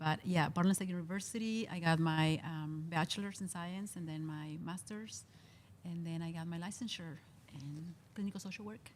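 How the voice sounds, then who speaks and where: With a strong Spanish accent, a woman speaks at a fairly low pitch. Her pitch variation is ordinary. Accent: heavy Spanish. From Mexico. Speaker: mental health social worker. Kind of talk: casual interview.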